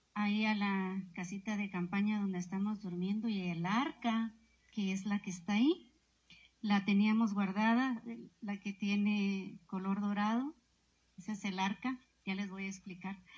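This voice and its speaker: Somewhat breathy, a woman speaks at a fairly slow pace with a medium pitch and fairly even intonation. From Guatemala, Momostenango; Guatemala. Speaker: protester. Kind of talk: testimony. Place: street.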